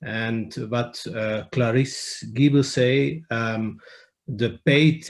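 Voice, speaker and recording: Speaking at a very slow pace, a man with a non-native accent keeps a medium pitch with ordinary pitch variation. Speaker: audience member. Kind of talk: comment in webinar. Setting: video call. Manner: halting.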